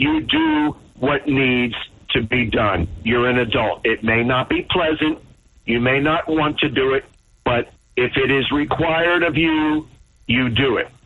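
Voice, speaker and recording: A man with a normal speaking voice talks at a medium pitch and fairly slow pace. His loudness stays very even, and his pitch variation is ordinary. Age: 60s. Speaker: caller. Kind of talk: call-in talk radio.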